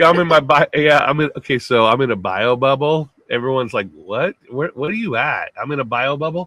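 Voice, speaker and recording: A man speaks loud and at a fairly quick pace, fairly high in pitch, with lively intonation and hardly any pauses. The sound is dry and close, with no echo. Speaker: podcast co-host. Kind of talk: casual chat. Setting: home-built sound booth.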